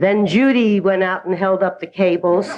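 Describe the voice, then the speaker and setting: A speaker with an American accent talks at a fairly slow pace. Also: woman. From New York. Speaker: recovery speaker. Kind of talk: personal testimony.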